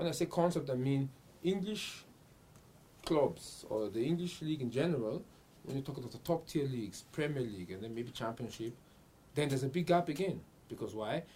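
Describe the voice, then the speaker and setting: Speaking at a fairly quick pace with long, frequent pauses, a man uses lively intonation in a fairly high, somewhat breathy voice with a dark, mellow tone. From Vienna, Austria (Nigerian parents). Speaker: football enthusiast and amateur player. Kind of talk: studio discussion. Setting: studio.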